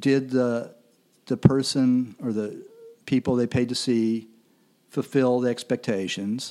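Fairly slow speech in a Midwestern American accent, dark and mellow in tone, fairly even in intonation, with long, frequent pauses. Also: man. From Kansas City, US Midwest. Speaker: music critic. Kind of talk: casual interview. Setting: studio recording with camera.

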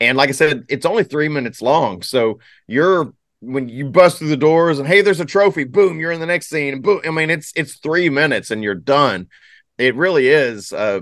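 Against a quiet background, a normal speaking voice moves at a moderate pace with lively intonation. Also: man. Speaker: podcast host. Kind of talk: casual chat.

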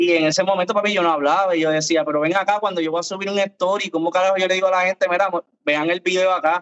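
A man's high, very fast voice in a Puerto Rican accent, with monotone, flat intonation. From Puerto Rico. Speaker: content creator. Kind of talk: casual chat.

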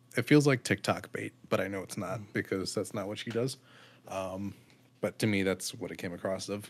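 A man's ordinary speaking voice, fairly low in pitch, fairly even in intonation, at a moderate pace. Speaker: podcast co-host. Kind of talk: casual chat.

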